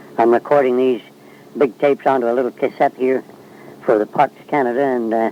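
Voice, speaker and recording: Over noticeable background noise, a man with medium pitch talks at a fairly quick pace in a monotone, flat intonation with long, frequent pauses, the sound dry and close with no echo. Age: 70s. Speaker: oral history interviewer. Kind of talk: recorded narration. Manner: halting, many fillers.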